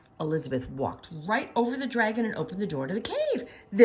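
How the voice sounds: Speech in a natural reading voice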